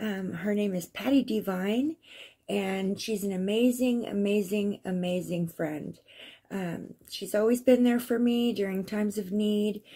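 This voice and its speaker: A woman with a dark, mellow, somewhat breathy tone talks at a fairly slow pace, medium in pitch with ordinary pitch variation. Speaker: crystal vlogger. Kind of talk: casual vlog. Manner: hesitant, many fillers.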